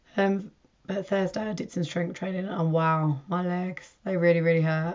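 Fairly even intonation carries this woman's somewhat breathy voice. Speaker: amateur runner. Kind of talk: casual vlog talk to camera.

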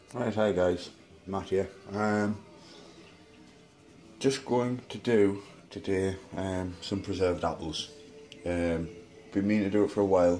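Fairly slow, fairly even speech with long, frequent pauses and faint music in the background. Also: man, fairly low pitch for a man. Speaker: home cook vlogger. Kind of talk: casual vlog chat. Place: kitchen. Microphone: phone near.

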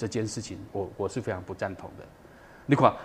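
A man speaks with a fairly low pitch and fairly even intonation. There is light background noise. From Taiwan. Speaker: documentary director, former TV cameraman; guest. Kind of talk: interview. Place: studio.

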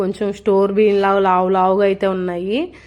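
A medium-pitched woman's voice. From Nellore district, Andhra Pradesh. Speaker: village vlogger, homemaker. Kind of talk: vlog voice-over. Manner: swallowing sounds between words.

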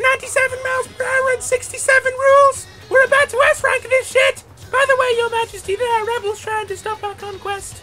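Music plays in the background as someone performs a put-on character voice at a moderate pace. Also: female-sounding voice, extremely high pitch for a woman. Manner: hyper, silly, rambling.

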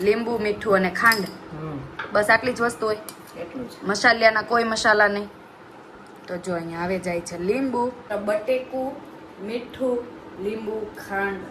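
The voice has an animated tone with ordinary pitch variation. Noticeable background noise runs underneath. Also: woman. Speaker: family vlogger. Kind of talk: cooking tutorial; casual family vlog.

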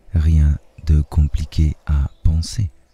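Very deep and low, a man's voice carries a soothing, gentle tone and fairly even intonation in a dry, close recording with no echo. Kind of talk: guided hypnosis meditation. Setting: nature sounds of birds and waves in background. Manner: soothing, slow, gentle, dreamy.

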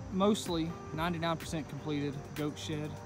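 Clear music plays behind a man whose sound is dry, with no echo. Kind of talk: casual DIY vlog narration. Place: garden. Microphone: phone near.

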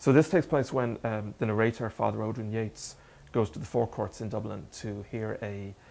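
With an Irish accent, a man speaks at a moderate pace in a fairly low voice, with ordinary pitch variation and big swings in loudness. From Ireland. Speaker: novelist. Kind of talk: author talk and reading. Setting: bookstore event with audience. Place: shop. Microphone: studio mic.

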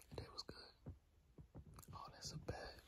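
Whispering at a very slow pace in a relaxed, gentle tone, a man is heard over noticeable background noise. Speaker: ASMR creator. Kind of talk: ASMR boyfriend roleplay. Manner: whispered, gentle; casual, relaxed.

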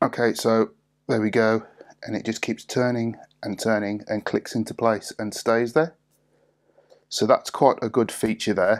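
Against a quiet background, the speaker keeps a moderate pace with long, frequent pauses. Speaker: product reviewer. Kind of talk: tutorial.

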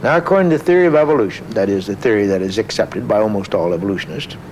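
A man's voice swings very widely in pitch over light background noise. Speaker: scientist guest. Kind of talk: interview explanation of science. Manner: halting, with many filler words. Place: studio.

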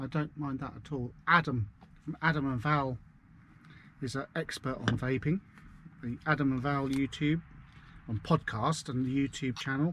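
A man with a Suffolk accent speaks at a moderate pace and a fairly high pitch, leaving long, frequent pauses. His intonation is fairly even, and the dry, echo-free sound carries light background noise. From Suffolk, eastern England; eastern England. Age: 40s. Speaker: vlogger. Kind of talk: casual driving vlog monologue. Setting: in a van. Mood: relaxed, chatty. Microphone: camera far.

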